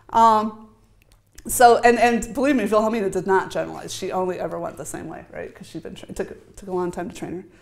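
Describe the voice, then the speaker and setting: With an American accent, a woman speaks very fast at a fairly high pitch, her intonation lively and her loudness swinging widely, in a room with audible echo. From US Midwest. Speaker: academic researcher. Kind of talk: conference talk.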